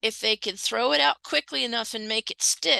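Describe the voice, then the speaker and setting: Dry and close with no echo over a quiet background, a woman with an American accent and vocal fry speaks at a fairly high pitch in a bright, sharp tone. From Virginia, family from southern West Virginia. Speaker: history professor. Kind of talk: interview conversation. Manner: animated.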